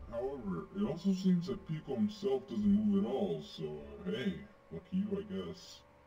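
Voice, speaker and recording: A man's high-pitched, put-on character voice at a moderate pace. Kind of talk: fan game recorded briefing. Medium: game stream. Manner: casual, hesitant, filler-laden.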